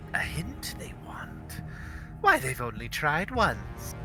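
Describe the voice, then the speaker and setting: A put-on character voice moves at a very slow pace. Loud music plays in the background. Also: man. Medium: actual play. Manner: taunting, sing-song, cackling.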